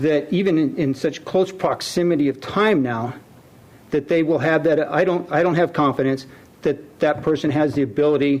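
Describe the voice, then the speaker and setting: A man talks at a moderate pace. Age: 60s. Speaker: city council member. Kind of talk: council meeting debate. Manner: halting.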